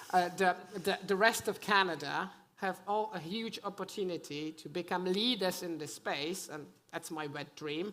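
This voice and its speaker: A woman speaks at medium pitch in a European accent, with ordinary pitch variation. Her pace is moderate and her loudness swings widely. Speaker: conference panelist, gambling industry. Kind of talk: panel discussion.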